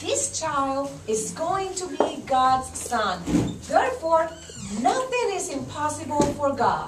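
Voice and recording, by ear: A woman uses a cartoonish character voice, high-pitched with big pitch swings, speaking at a slow pace amid audible room echo.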